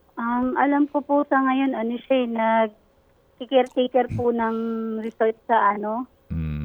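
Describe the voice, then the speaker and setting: Over music in the background, a woman with a fairly high pitch talks at a fairly slow pace with fairly even intonation. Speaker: manicurist. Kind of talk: phone interview. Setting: phone call.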